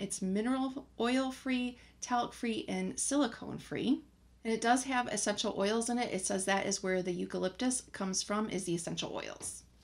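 A woman keeps a moderate pace, her pitch varying in an ordinary way. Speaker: beauty vlogger. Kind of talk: casual vlog chat. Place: home room.

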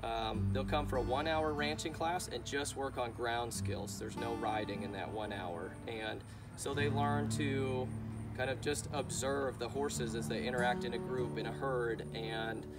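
A man talks at a moderate pace while loud music fills the background. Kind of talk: explanatory talk to camera. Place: farm machine. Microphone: camera far.

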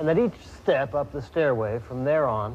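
A somewhat breathy man speaks over light background noise. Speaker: presenter. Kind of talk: documentary presenting to camera. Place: tunnel cave.

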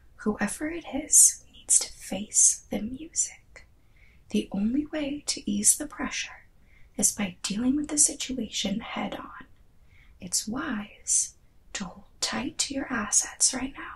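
Soft-spoken and calm in tone, a woman talks at a very slow pace with ordinary pitch variation. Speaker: tarot reader. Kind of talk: tarot reading. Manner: soft-spoken, calm, hushed ASMR reading. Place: home room.

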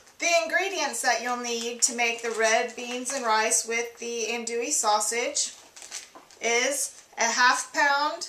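Her pitch is high and her intonation fairly even. The woman's recording carries audible room echo and light background noise. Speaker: home cook host. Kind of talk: tutorial. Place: kitchen. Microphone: camera far.

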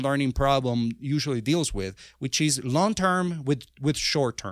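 On a very clean recording with a silent background, a man with a Spanish accent speaks at a moderate pace, his fairly high pitch showing ordinary variation. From Venezuela. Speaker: software engineer and author. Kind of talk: interview. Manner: halting.

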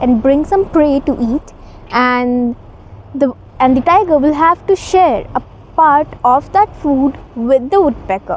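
Over light background noise, a woman with a high voice and lively intonation speaks at a fairly slow pace, the sound dry with no echo. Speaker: storyteller. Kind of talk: storytelling to camera. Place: garden. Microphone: lapel.

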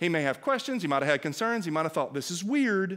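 Very wide pitch swings run through this man's speech. The background is quiet. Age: 40s. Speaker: pastor; preacher. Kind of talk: sermon. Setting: church. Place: church. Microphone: headset.

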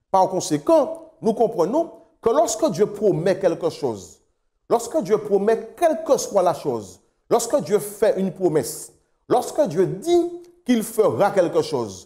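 Over a quiet background, a man with a dark, mellow tone and a high pitch speaks very slowly, his pitch swinging very widely. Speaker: pastor. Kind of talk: sermon delivered to a remote congregation, ending in prayer. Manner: earnest, formal, measured pulpit delivery; rhythmic, repeating phrases in building cadence. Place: studio. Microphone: lapel.

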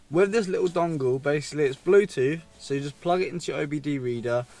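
The voice shows ordinary pitch variation. Faint music plays in the background. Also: man, dry sound with no echo. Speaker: car vlogger. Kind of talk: casual vlog chat. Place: car.

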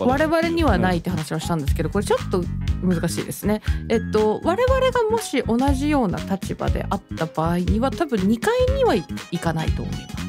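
The talking moves at a fairly quick pace. Music can be heard in the background. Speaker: VTuber radio host. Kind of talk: casual talk show banter.

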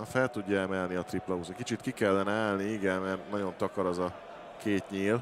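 Talking at a fairly quick pace, a man keeps his fairly low voice in a monotone, flat intonation. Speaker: darts pundit. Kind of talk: live commentary.

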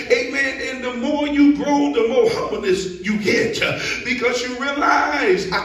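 A man at an extremely high pitch with lively intonation, amid audible room echo. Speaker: preacher. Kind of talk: sermon. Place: church.

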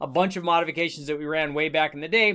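A man rattles off his words very fast, and everything behind him stays quiet. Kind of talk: tutorial. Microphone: webcam.

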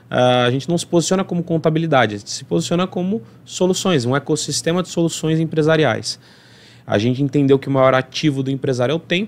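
Fairly quick speech from a man, pitched fairly high, with ordinary pitch variation. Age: 30s. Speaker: accountant and entrepreneur; podcast guest. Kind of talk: interview podcast. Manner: energetic. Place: studio. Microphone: studio mic.

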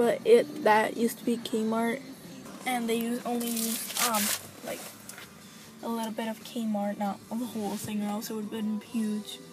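A woman speaks at a moderate pace in a dry, echo-free sound with faint music in the background. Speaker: vlogger. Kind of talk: casual vlog chat. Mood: relaxed, chatty.

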